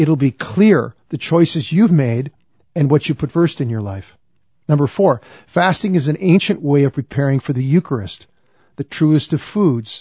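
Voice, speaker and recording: A man speaks with a plain, everyday voice at a moderate pace. His pitch is fairly high and his intonation lively. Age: 60s. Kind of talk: religious teaching talk. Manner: earnest, conversational with repetitions.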